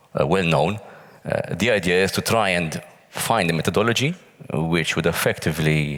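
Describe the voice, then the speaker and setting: A man with a very deep, low pitch at a moderate pace, over noticeable background noise. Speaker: pensions working group member. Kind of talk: panel interview. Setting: stage with audience.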